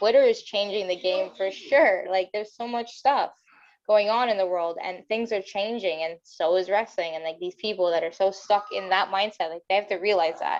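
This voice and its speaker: A woman with an unremarkable speaking voice talks at a moderate pace and medium pitch, with ordinary pitch variation. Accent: Canadian. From Windsor, Ontario, Canada. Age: 30s. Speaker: professional wrestler. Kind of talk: casual chat.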